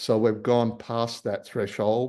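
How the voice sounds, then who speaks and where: Speaking at a very slow pace, a man talks with an Australian accent. His tone is dark and mellow, set against a quiet background. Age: 60s. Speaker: marine scientist and company founder. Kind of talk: public talk with slides.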